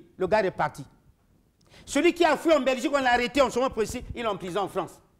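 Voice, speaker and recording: A man speaks loudly at an extremely high pitch. His intonation is lively and his tone animated. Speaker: political commentator. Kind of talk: heated debate.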